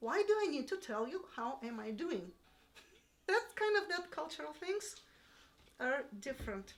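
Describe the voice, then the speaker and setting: A woman's high-pitched voice with a Russian accent, very wide pitch swings, a fairly slow pace and long, frequent pauses. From Russia (Yalta, Crimea). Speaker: piano teacher. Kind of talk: interview. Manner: halting.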